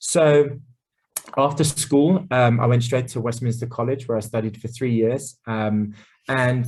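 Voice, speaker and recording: This man's voice is somewhat breathy. His intonation stays fairly even. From England, Essex. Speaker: chef. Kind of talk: casual interview. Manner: many fillers and repeated words.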